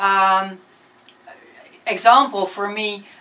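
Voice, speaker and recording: Over noticeable background noise, a woman of medium pitch speaks with a Dutch accent. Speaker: singer-songwriter. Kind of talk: interview. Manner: halting, many fillers and repetitions.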